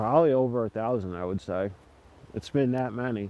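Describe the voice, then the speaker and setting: A man speaks at a moderate pace with lively intonation in an unremarkable speaking voice. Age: 30s. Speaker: Klan member, builder. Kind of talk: interview. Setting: outdoors, playground.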